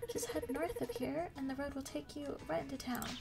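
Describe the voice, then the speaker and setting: A woman is speaking. Music plays clearly in the background. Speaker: gamer streamer. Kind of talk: gaming ASMR commentary. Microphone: studio mic.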